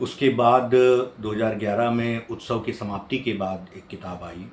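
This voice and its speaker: The intonation stays fairly even, and audible room echo surrounds the voice. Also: man. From Chhattisgarh, India (Bhilai). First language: Odia (speaking Hindi). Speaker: professor and poet. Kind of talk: interview monologue. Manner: hesitant with fillers.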